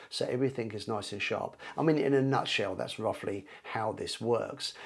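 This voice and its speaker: A man speaks. The background is quiet. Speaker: photography teacher. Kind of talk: tutorial. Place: home room. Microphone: lapel.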